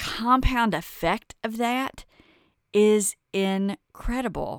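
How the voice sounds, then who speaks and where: A woman speaks with a Kentucky accent and an animated tone. Her pitch varies in an ordinary way. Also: dry, close sound with no echo. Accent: Kentucky Southern US. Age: 50s. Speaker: podcast host and wellness coach. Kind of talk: casual monologue.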